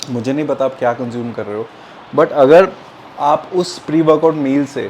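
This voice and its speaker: A man with a Punjabi accent speaks at a moderate pace in a fairly high pitch, his intonation fairly even, with noticeable background noise. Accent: Punjabi-tinged Hindi. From Punjab, India (Jalandhar). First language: Punjabi (speaking Hindi). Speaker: fitness youtuber. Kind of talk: tutorial. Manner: casual, Hindi-English code-mixing with fillers.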